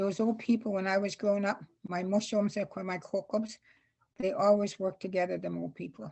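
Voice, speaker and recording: The woman talks at a fairly quick pace. Her medium-pitched voice is somewhat breathy. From Saskatchewan, Canada (Saskatoon; Métis). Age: 80s+. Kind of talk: storytelling. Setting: video call. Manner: halting, with repetitions.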